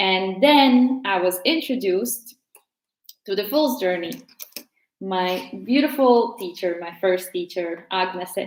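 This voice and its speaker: Speaking at a very slow pace, the woman uses lively intonation at a medium pitch. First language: Latvian. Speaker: tarot teacher. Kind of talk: casual tutorial.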